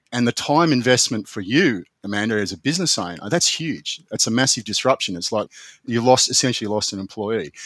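A man with an Australian accent talks at a fairly quick pace. His voice sits at a medium pitch with lively intonation. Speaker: business owner and lawyer. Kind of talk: interview. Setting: remote call from office.

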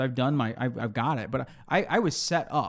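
A man's mid-range voice rises and falls in lively fashion on a spotless recording with total silence behind it. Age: 30s. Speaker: film podcast host. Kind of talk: casual chat.

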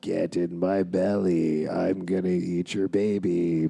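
Putting on a character voice, a man talks very deep and low, at a fairly slow pace and in a flat monotone.

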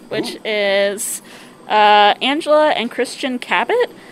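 A woman's voice over noticeable background noise. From Alaska. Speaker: festival food volunteer. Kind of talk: casual interview.

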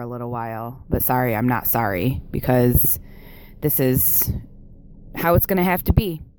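A woman with an American accent at a moderate pace, over noticeable background noise. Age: 30s. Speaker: listener caller. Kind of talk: voicemail testimony.

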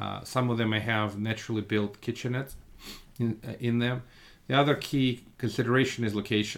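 Speaking in a Russian accent, a man keeps a medium pitch and a monotone, flat intonation. His pace is fairly quick. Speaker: real estate fund manager. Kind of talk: podcast interview.

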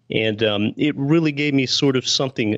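An unremarkable speaking voice from a man with an American accent, ordinary pitch variation and a fairly quick pace. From Pennsylvania, US. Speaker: real estate investor and podcast host. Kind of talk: interview.

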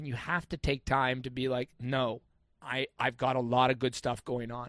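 In an unremarkable speaking voice of medium pitch, a man talks at a fairly quick pace, the sound dry and close with no echo. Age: 40s. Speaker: men's coach. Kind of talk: casual chat.

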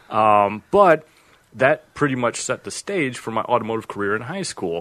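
A man with a Chicago accent, bright, sharp tone and moderate pace. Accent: Midwestern American (Chicago area). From northern Illinois (Freeport). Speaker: automotive field technical specialist. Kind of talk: casual interview.

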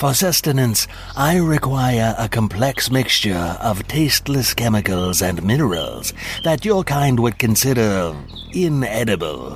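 Over clear background noise, a put-on character voice speaks at a moderate pace. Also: man, medium pitch for a man. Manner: formal, matter-of-fact.

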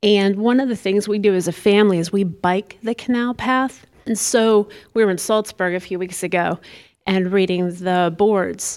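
In an ordinary speaking voice, a woman talks at a moderate pace and medium pitch with fairly even intonation. The recording is very clean, with a silent background. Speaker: historical society tour guide. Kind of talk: announcements to audience.

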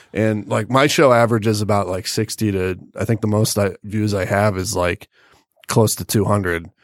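In an ordinary speaking voice, a man speaks at a moderate pace and fairly low pitch with fairly even intonation, recorded very cleanly against a silent background with a dry, close sound and no echo. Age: 30s. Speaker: podcast host. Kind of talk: casual chat. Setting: studio.

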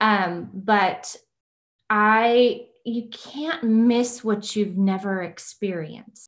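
Her tone is bright and sharp. This woman speaks at a medium pitch with ordinary pitch variation. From South Texas (Kingsville). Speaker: teacher turned real estate agent. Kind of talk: personal interview.

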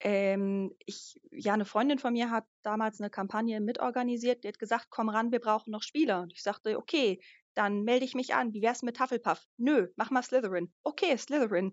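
A woman with an unremarkable speaking voice and a fairly high pitch speaks with hardly any pauses. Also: ordinary pitch variation, moderate pace. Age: 30s. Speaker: live-action role-play organizer. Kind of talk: casual chat.

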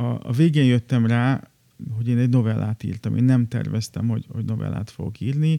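Fairly quick speech with a dark, mellow tone and fairly even intonation comes through with a dry, close sound and no echo. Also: man, medium pitch for a man. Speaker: writer. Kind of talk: personal narrative. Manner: hesitant with repetitions.

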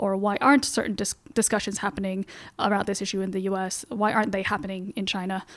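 A woman speaks in a plain, everyday voice at a medium pitch, recorded very cleanly against a silent background. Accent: American. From Beijing, then Canada and Seattle. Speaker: magazine editor and journalist. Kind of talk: casual interview. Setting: studio.

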